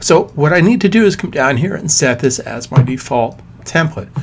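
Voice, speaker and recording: Fairly high-pitched male speech with lively intonation at a moderate pace, over noticeable background noise. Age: 50s. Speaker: software trainer. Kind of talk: tutorial. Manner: animated.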